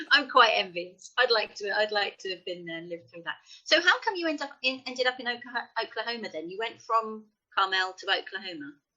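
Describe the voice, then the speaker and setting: A woman's fairly high-pitched, plain, everyday voice at a fairly quick pace, with lively intonation and big swings in loudness. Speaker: interviewer. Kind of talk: interview.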